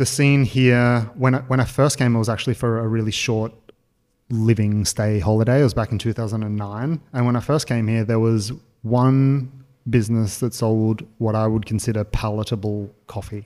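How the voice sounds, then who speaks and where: Speaking in an Australian accent, a man keeps a moderate pace and fairly even intonation. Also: medium pitch for a man. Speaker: podcast host. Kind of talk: casual chat.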